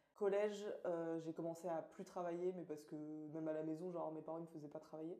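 With noticeable background noise, a woman talks at a fairly quick pace in a fairly low, monotone voice with flat intonation. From Orléans, France. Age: 20s. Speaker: master's student. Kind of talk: casual chat.

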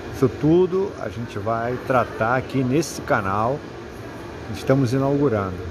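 Over noticeable background noise, a man talks at a fairly slow pace with lively intonation and a medium pitch. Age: 50s. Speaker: podcast host, retail business consultant. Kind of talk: podcast introduction monologue.

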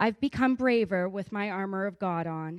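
This is a normal speaking voice at a fairly slow pace. The sound is dry and close, with no echo. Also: woman. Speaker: church member giving testimony. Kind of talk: testimony. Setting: church.

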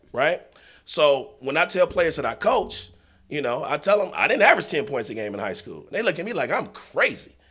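With a bright, sharp tone and vocal fry, this man speaks at a fairly quick pace, his fairly high pitch moving in very wide swings. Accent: American. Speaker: basketball coach. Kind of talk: casual chat.

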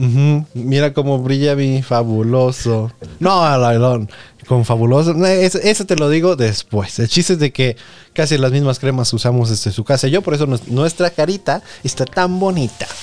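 Speaking at a moderate pace in a Mexican accent, a man sounds animated, his pitch fairly high and his loudness very even. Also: lively intonation. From Mexico, Nayarit. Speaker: podcast host. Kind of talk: casual chat.

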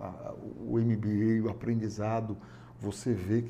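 Somewhat breathy and medium in pitch, this man's voice has a dark, mellow tone. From Fortaleza, Ceará, Brazil. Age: 50s. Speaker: business owner. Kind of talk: interview. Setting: studio.

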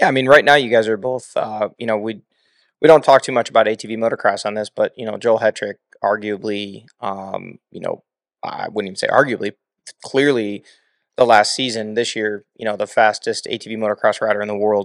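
In an ordinary speaking voice, a man talks at a moderate pace and medium pitch with fairly even intonation and big swings in loudness, on a very clean recording with a silent background and a dry, close sound with no echo. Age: 40s. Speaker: podcast host, retired off-road racer. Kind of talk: casual chat. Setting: studio.

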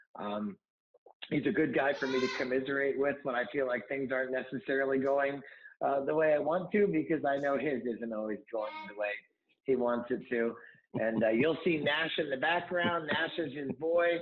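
At a moderate pace, a man with an American accent speaks in a fairly high pitch with ordinary pitch variation. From Ohio, US (Salem). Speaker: podcast host. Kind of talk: interview. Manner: hesitant, many fillers.

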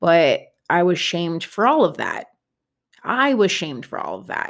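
Lively intonation marks this woman's fairly low voice at a moderate pace. The recording is very clean, with a silent background. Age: 30s. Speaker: podcast host and mindset coach. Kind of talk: solo podcast monologue.

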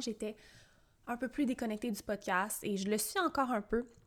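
A very clean recording of a woman, silent in the background, her pace moderate and her pitch varying in an ordinary way. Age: 20s. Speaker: podcast host, personal development coach. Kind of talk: solo monologue podcast; sales pitch.

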